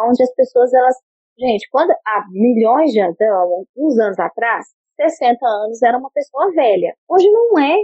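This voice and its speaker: This woman speaks at a moderate pace. Her voice is high, with lively intonation. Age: 30s. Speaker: business intelligence analyst. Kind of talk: interview. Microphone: choppy connection.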